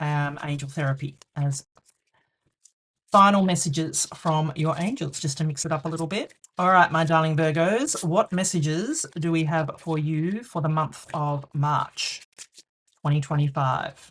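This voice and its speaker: A woman's very deep, low, somewhat breathy voice, fairly slow in pace and fairly even in intonation. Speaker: tarot reader. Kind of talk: tarot reading to camera. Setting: on camera.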